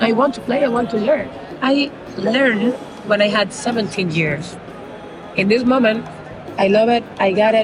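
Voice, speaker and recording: A woman with a Spanish accent, fairly high pitch and ordinary pitch variation at a fairly slow pace, with audible room echo and noticeable background noise. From Cuba. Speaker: percussionist and singer. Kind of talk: interview. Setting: street fair. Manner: halting non-native English.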